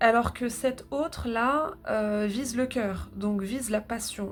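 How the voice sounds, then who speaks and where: With a northern French accent, a woman talks at a very slow pace in a fairly high pitch and fairly even intonation. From northern France. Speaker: tarot reader. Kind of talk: tarot reading. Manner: halting, many filler sounds.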